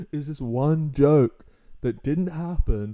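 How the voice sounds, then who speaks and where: A man's dark, mellow voice at a fairly high pitch shows ordinary pitch variation. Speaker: YouTuber. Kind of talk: casual reaction commentary.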